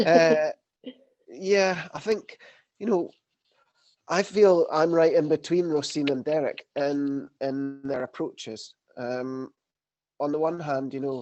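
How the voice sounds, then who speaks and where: A man at a fairly slow pace, fairly high in pitch with ordinary pitch variation, and music in the background. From Scotland. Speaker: angler and conservationist. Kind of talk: panel discussion. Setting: video call.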